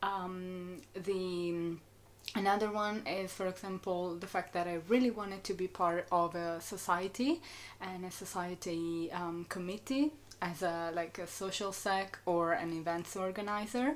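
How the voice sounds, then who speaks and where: A woman with an Italian accent talks with ordinary pitch variation. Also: medium pitch for a woman, fairly slow pace. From Italy. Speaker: student vlogger. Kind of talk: casual chat. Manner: hesitant with many fillers.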